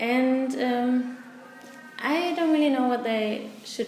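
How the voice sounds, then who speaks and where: A woman with a German accent, with audible room echo and noticeable background noise. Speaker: volunteer English teacher. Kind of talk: interview. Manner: halting.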